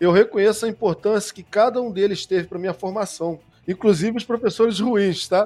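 A man with a high-pitched voice speaks at a fairly quick pace. His loudness swings widely while his intonation stays fairly even. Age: 40s. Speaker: science communicator and researcher. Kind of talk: interview conversation.

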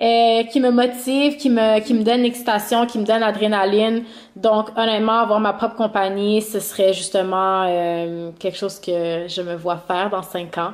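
A woman speaks in an unremarkable speaking voice at a fairly high pitch. Her intonation is fairly even, and her pace is moderate. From Montreal. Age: 30s. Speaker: YouTuber. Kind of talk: casual chat. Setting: remote recording.

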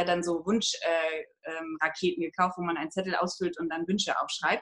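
The woman speaks fairly quickly at a medium pitch. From northern Germany, Hamburg. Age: 30s. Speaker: online course participant. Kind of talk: interview testimony. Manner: halting, many filler sounds.

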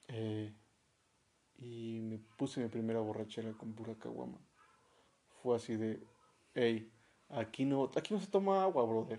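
In a dark, mellow tone, a man speaks at a fairly slow pace with long, frequent pauses. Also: medium pitch for a man, ordinary pitch variation. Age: 30s. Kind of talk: casual chat.

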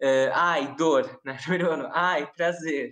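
Very slowly, a woman speaks in a very deep, low pitch with ordinary pitch variation. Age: 20s. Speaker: law student. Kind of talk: casual chat.

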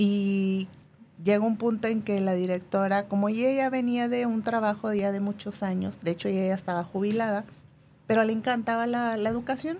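Using an unremarkable speaking voice, the speaker talks at a moderate pace with fairly even intonation. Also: woman, medium pitch for a woman. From northern Mexico (Monterrey / Durango). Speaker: hypnotherapist. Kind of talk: interview.

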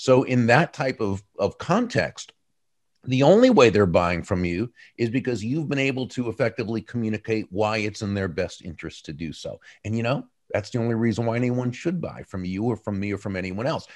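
An unremarkable speaking voice with lively intonation and a fairly quick pace, set against a quiet background. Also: man, medium pitch for a man. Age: 60s. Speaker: author and business speaker. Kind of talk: interview.

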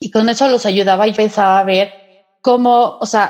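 A woman speaks in a normal speaking voice, fairly high in pitch with fairly even intonation. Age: 40s. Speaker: Reiki and angel therapist. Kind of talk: interview.

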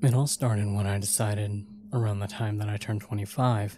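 Talking at a moderate pace, the speaker is joined by music in the background. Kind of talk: horror story narration. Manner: dramatic, ominous build-up.

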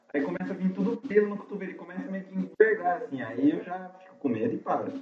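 Over noticeable background noise, a man talks at a very fast pace, his pitch swinging very widely. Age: 20s. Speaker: podcast host. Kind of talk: casual chat. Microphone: phone recording.

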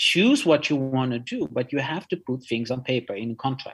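A man with a Dutch accent and ordinary pitch variation. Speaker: art lawyer. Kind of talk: interview.

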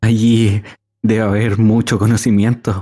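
Monotone and flat, a man speaks at a fairly low pitch and a fairly slow pace. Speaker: player voicing a ship doctor character. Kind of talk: role-playing in character, descriptive narration. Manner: formal, wordy, theatrical, with hesitations.

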